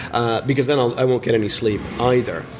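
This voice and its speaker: A man speaks at a medium pitch. Noticeable noise can be heard in the background. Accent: American. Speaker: theatre maker. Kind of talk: interview. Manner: halting.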